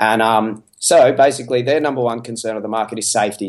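A man's medium-pitched voice is heard over a quiet background. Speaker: podcast guest, entrepreneur. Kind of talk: casual interview chat. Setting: home by the beach, remote call.

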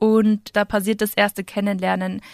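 A woman of medium pitch has a normal speaking voice with fairly even intonation and a moderate pace. The recording is very clean with a silent background, and the sound is dry and close with no echo. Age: 20s. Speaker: civil engineer and plant delivery founder. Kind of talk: interview. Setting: studio.

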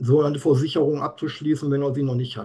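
A man talks at a fairly high pitch. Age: 50s. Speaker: insurance expert. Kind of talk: interview. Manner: animated.

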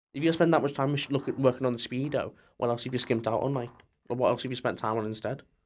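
Speaking very fast with a Scouse accent, a man keeps a medium pitch and fairly even intonation on a very clean recording with a silent background. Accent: Scouse-leaning northern English. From Merseyside, near Liverpool. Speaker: student racing team business lead. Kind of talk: casual chat. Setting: studio.

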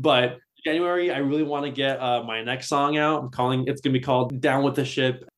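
A fairly high-pitched man with a Californian accent, at a fairly quick pace, with monotone, flat intonation. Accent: Californian American. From Southern California. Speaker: metal guitarist. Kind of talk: casual interview.

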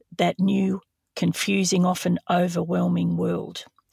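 Dry and close with no echo, a woman with an Australian accent speaks at a fairly slow pace. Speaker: true crime podcast host.

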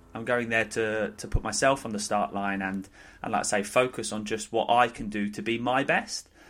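The background is silent and the recording very clean. It is an ordinary speaking voice, with fairly even intonation at a moderate pace. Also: man, fairly low pitch for a man. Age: 30s. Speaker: fitness and nutrition coach. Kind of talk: casual chat.

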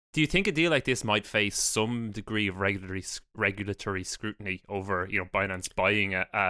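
A man with an Irish accent talks at a very fast pace in a fairly low pitch, his tone bright and sharp. The sound is dry and close with no echo, on a very clean recording against a silent background. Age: 30s. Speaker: podcast host, investment analyst. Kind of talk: casual chat.

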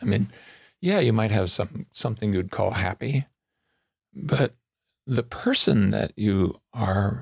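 A man with a West Coast American accent speaks at a fairly slow pace in a fairly low pitch, his lively intonation touched with vocal fry and his sound dry and close with no echo. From Southern California. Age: 70s. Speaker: psychologist and author. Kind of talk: interview conversation.

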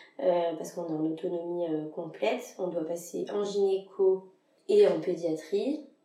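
Medium-pitched woman's voice with audible room echo. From France, Lyon. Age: 20s. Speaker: general practice resident. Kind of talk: casual interview.

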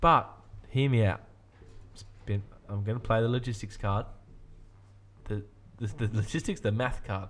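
With an Australian accent, a man speaks at medium pitch and a moderate pace, showing ordinary pitch variation and long, frequent pauses. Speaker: podcast host. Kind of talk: casual chat. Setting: studio. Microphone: new sound card.

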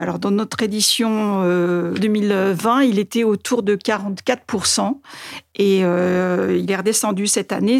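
A woman talks with fairly even intonation. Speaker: newspaper editor-in-chief. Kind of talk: interview.

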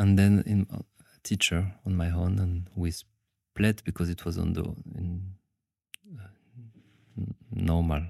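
In a French accent, the speaker has a dark, mellow tone and monotone, flat intonation. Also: man, very deep, low pitch for a man. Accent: French, noticeable. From France. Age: 30s. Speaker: dancer and aikido teacher. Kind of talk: casual interview. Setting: late-night recording after workshop. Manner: halting.

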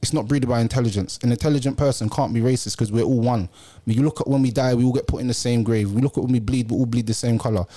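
With a London accent, a man talks very fast at medium pitch in a dark, mellow tone, his intonation fairly even and his loudness very even, in a very clean recording with a silent background. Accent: London Multicultural English. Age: 30s. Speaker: podcast host. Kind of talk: casual chat.

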